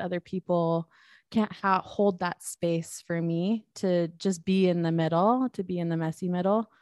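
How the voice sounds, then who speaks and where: Against a quiet background, a woman with an unremarkable speaking voice talks at a moderate pace in a fairly low pitch. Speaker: photographer. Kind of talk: casual conversation.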